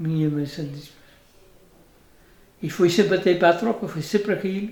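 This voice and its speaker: Audible room echo around a man with a high pitch and fairly even intonation. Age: 90s (80s+). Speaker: retired farmer and former road worker. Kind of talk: casual interview, life story. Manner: halting.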